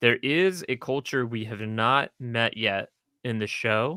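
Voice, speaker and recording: On a very clean recording with a silent background and a dry, close sound with no echo, a man with an American accent talks in a bright, sharp tone at a medium pitch, with ordinary pitch variation. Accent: Texan accent, comes and goes. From Texas (Houston). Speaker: streamer discussing a TV series. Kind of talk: casual chat. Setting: live stream. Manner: animated.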